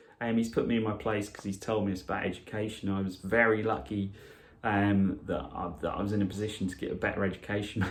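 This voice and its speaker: A man talks at a very fast pace in a fairly low voice. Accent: Norfolk. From Norfolk, England. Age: 40s. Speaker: radio presenter. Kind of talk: casual podcast talk.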